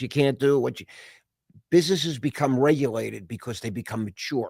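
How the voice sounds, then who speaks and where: Talking at a very fast pace, a man uses a medium pitch with ordinary pitch variation. The recording is very clean, with a silent background. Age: 60s. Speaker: investor and entrepreneur. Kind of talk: casual chat. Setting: podcast interview.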